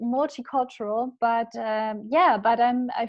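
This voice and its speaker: This is a woman with a German accent. Her voice sits high in pitch. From Germany. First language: Spanish. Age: 20s. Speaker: life coach. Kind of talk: interview. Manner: halting.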